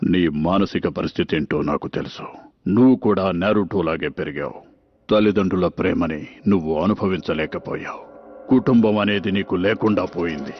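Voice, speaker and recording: A man puts on a character voice with a very deep, low pitch. He speaks at a moderate pace with ordinary pitch variation. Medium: fan dub. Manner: calm, measured.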